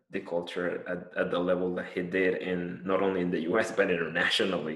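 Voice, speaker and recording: A man speaks in a very deep, low voice against a quiet background. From Colombia. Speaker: podcast co-host. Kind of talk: casual chat.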